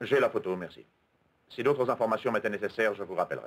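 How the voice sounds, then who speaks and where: A man at a very fast pace. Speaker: voice actor. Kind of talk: film dub dialogue. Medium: dub.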